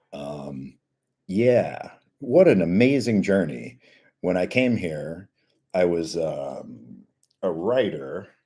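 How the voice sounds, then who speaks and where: Very slowly and with long, frequent pauses, a man speaks at a very deep, low pitch in a dark, mellow tone with vocal fry and very wide pitch swings. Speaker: bodybuilder streamer. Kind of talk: live stream Q&A chat. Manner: casual, self-interrupting.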